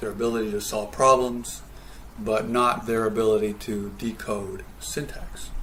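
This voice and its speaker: Over noticeable background noise, a man talks at a fairly slow pace. Room echo is audible. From Canada. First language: Spanish. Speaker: professor. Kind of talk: lecture. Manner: hesitant, many fillers.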